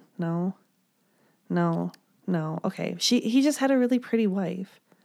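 A woman with an American accent speaks at a medium pitch in a dark, mellow tone. The recording is very clean, with a silent background. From US Midwest. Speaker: podcast co-host. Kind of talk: casual chat.

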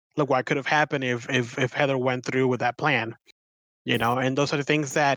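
Bright and sharp in tone, a man speaks at medium pitch and a fairly quick pace. His intonation is monotone and flat, with a dry, close sound and no echo. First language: not English. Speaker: podcast co-host, dungeon master. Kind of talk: casual chat.

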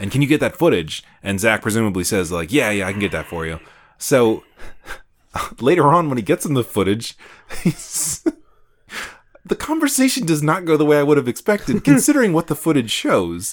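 A man talks at a fairly quick pace with vocal fry and very wide pitch swings. Long, frequent pauses break up his speech. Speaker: podcast host. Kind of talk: casual chat, drinking game.

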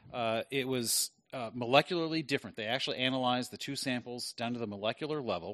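A man talks at a very fast pace with a medium pitch. The background is quiet, and the sound is dry and close with no echo. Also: ordinary pitch variation. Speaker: podcast host. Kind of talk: casual banter podcast.

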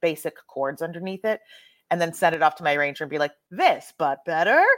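A woman with an American accent speaks at a fairly quick pace in an ordinary speaking voice. Her pitch is fairly low with ordinary variation, and the sound is dry and close with no echo. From Texas. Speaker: cabaret performer and writer. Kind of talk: casual interview conversation.

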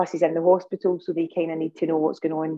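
A woman speaks in a Scottish accent at a fairly low pitch with monotone, flat intonation. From Scotland. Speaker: parent of a sick child, medical cannabis advocate. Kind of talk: interview testimony. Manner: halting, many fillers and restarts.

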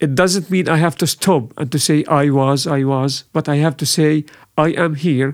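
Speaking at a fairly slow pace, a man with an Arabic accent has a fairly high-pitched voice. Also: very clean recording, silent background. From Syria. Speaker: refugee resettlement worker. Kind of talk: casual chat.

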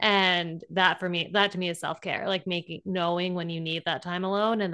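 A woman talks at a moderate pace in a normal speaking voice. Her pitch is medium, and the background is quiet. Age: 30s. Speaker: podcast co-host. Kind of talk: casual chat.

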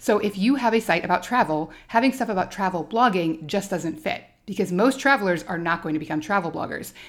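This woman has a plain, everyday voice with an American accent, medium pitch and lively intonation. She talks at a fairly quick pace with hardly any pauses, on a very clean recording with a silent background. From Alaska. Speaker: travel blogger and podcast host. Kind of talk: solo podcast monologue.

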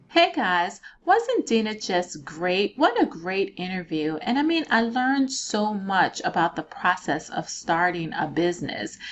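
Over noticeable background noise, a woman talks at a fairly slow pace with hardly any pauses, a medium pitch and very wide pitch swings. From Louisiana. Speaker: podcast host. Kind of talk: interview; scripted outro. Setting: live online stream.

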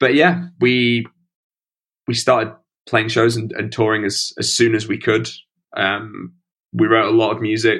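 In a Yorkshire accent, a man of medium pitch speaks at a fairly slow pace with ordinary pitch variation and long, frequent pauses. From northern England, Sheffield (Stocksbridge). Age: 30s. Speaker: rock musician. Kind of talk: interview.

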